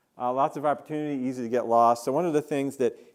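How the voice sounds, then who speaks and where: With an American accent, a man talks on a very clean recording where the background is silent. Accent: New York accent, slips in occasionally. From New York, Queens and Long Island. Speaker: engineering professor. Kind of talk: keynote lecture. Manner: many fillers (uh, um).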